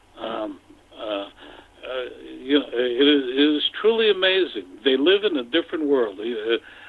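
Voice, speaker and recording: Noticeable background noise sits under a man speaking at a moderate pace with long, frequent pauses. His fairly high pitch moves through very wide swings. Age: 70s. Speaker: business executive and political commentator. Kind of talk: radio interview. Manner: halting, many fillers and repetitions.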